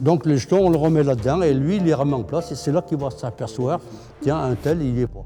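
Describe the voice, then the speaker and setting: Very fast speech from a man at a fairly high pitch with ordinary pitch variation, music in the background. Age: 80s+. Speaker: retired coal miner. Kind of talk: guided tour interview.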